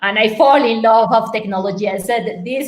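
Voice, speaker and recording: A fairly high-pitched woman at a moderate pace amid noticeable background noise. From Colombia, Medellin. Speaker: tech entrepreneur and former lawyer. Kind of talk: interview. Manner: halting, many repetitions.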